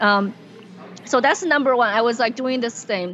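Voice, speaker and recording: Over noticeable background noise, a woman speaks at a high pitch with lively intonation. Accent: Chinese. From China, Wuhan. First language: Mandarin Chinese. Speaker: comedian and tech worker. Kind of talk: casual interview chat. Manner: animated, laughs often.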